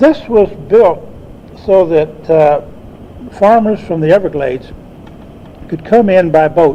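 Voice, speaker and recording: A man's voice, with ordinary variation in pitch, comes through noticeable background noise. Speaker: botanist and retired university professor. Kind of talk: oral history recollection. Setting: speaking before a club audience, archival recording.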